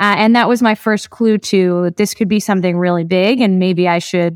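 In a very clean recording with a silent background, a woman talks at a medium pitch with ordinary pitch variation. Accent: New Jersey. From New Jersey, US. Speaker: startup founder. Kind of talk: interview.

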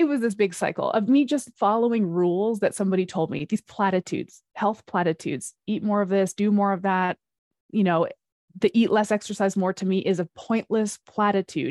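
Against a quiet background, a woman in a plain, everyday voice speaks at a fairly quick pace, medium pitch and ordinary pitch variation, the sound dry and close with no echo. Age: 40s. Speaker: fitness and metabolism coach. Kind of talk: interview.

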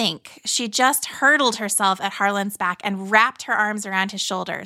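The text is being read aloud in a natural voice.

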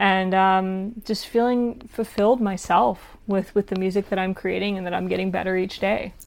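A woman's unremarkable speaking voice with an American accent, medium in pitch, at a moderate pace with hardly any pauses and fairly even intonation, on a very clean recording with a silent background. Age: 20s. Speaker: singer-songwriter and actress. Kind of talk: casual interview.

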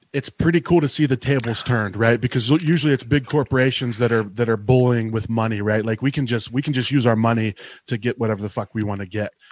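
A man with an American accent speaks at a medium pitch with ordinary pitch variation in a plain, everyday voice, recorded very cleanly against a silent background with a dry, close sound and no echo. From Ohio, between Cleveland and Pittsburgh. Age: 40s. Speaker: craft beer media creator. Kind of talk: casual chat.

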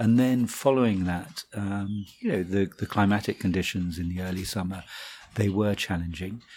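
In a normal speaking voice, a man talks at a moderate pace with fairly low pitch and fairly even intonation. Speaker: wine merchant buying director. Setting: office interview.

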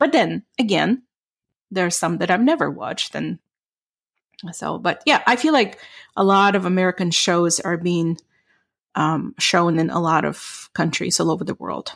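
A woman's fairly low voice with vocal fry, ordinary pitch variation and a moderate pace, marked by long, frequent pauses, on a very clean recording with a silent background. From Europe. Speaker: ESL podcast co-host. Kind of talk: casual chat.

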